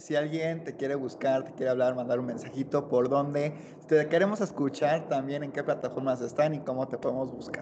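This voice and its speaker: This is an unremarkable speaking voice, a man's, fairly high in pitch with fairly even intonation. He keeps a moderate pace while his loudness swings widely. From Guanajuato, Mexico. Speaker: podcast host. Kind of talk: casual chat.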